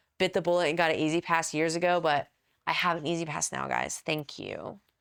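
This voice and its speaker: A woman with an American accent speaks at a fairly quick pace with vocal fry and monotone, flat intonation. The recording is very clean, with a silent background. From Texas. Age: 40s. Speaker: professional wrestler. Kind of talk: casual interview chat.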